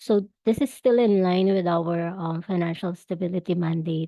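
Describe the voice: A woman's husky, fairly low voice, dark and mellow in tone, at a moderate pace, with a dry, close sound and no echo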